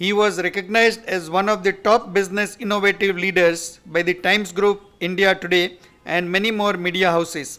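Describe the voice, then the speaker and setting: A man speaks in a raised, projected voice with a bright, sharp tone. His intonation stays fairly even. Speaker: event host introducing speaker. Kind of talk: formal speaker introduction. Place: hall. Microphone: podium.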